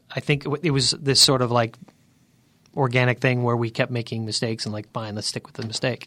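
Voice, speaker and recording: This man's tone is bright and sharp, with monotone, flat intonation. He talks at a fairly quick pace. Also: medium pitch for a man. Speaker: songwriter. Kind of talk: casual interview chat.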